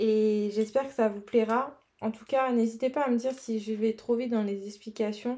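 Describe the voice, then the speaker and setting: The recording is very clean, with a silent background, as a woman speaks at a fairly slow pace. Her pitch is fairly high, her intonation fairly even, and her tone dark and mellow. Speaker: colouring artist youtuber. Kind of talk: tutorial. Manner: casual, hesitant with fillers.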